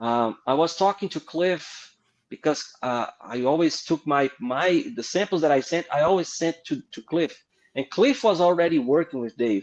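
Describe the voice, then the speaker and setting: A man speaks at a moderate pace with a Brazilian Portuguese accent, his fairly high voice carrying lively intonation in a dry, close sound with no echo. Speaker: comic book artist. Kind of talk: interview storytelling. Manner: halting.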